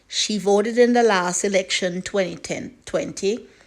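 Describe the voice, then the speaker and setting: A woman speaks at a fairly slow pace with an ordinary speaking voice. Her pitch is medium, with ordinary pitch variation. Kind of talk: news article read aloud.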